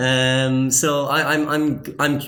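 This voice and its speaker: The room echo is audible. The speaker has a Cork accent. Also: man. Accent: Cork Irish. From Ireland, Cork. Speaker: master's student. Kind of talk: casual chat. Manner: halting, many fillers.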